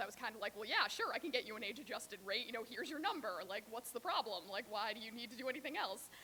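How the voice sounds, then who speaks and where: There is noticeable background noise behind a woman's voice. She speaks at a fairly high pitch with ordinary pitch variation. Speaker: public health epidemiologist. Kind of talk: workshop presentation. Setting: workshop with audience. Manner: fast.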